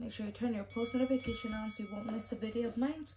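A soft-spoken woman, fairly high in pitch, with fairly even intonation and light background noise. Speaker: YouTuber. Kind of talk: casual vlog, reading out giveaway entrants. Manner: soft-spoken, keeping quiet; hesitant, stumbling over names. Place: home room. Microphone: phone near.

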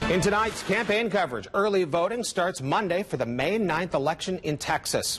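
With clear music in the background, a man with an American accent speaks at a moderate pace using very wide pitch swings. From United States. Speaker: television news anchor and reporter. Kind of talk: television news anchor delivery. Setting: TV studio and field reporting. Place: studio.

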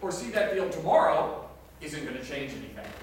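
A man's voice in strong room echo. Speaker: pastor. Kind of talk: sermon. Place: church.

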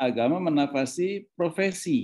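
This man's pitch rises and falls in an ordinary way. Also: quiet background. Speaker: professor. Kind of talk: keynote talk. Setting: video call. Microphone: video call.

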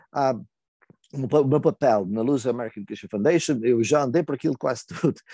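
A man's dark, mellow tone comes through at a moderate pace with ordinary pitch variation. The sound is dry with no echo, over a quiet background. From Azores (Ponta Delgada, São Miguel); Azores. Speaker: retired language teacher and poet; retired language teacher, poet. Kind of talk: interview; interview answer. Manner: halting. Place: home room. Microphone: earbuds.

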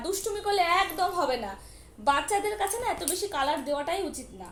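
Extremely high-pitched woman with lively intonation and big swings in loudness, plus noticeable background noise and audible room echo. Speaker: mother vlogger. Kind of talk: talking to child and viewers. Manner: loud scolding.

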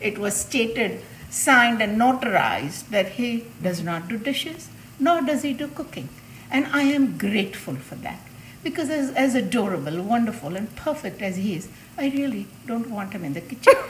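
Light background noise sits behind a woman speaking at a moderate pace. Her fairly high pitch moves in very wide swings. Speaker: home cook demonstrating recipe. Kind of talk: cooking tutorial. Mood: warm, humorous.

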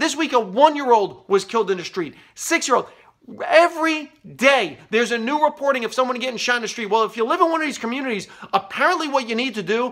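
A man talks at a very fast pace with an extremely high pitch and lively intonation. His tone is bright and sharp, and the background is quiet. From New York City area, US. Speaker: comedian and political commentator. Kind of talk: angry political rant to camera. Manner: biting, bitterly sarcastic escalation; emphatic, repeating points for punch. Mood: frustrated, sarcastic. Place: office. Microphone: phone near.

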